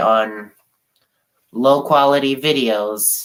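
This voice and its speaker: With a bright, sharp tone, a man speaks in a fairly even intonation. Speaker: sports channel streamer. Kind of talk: casual livestream chat.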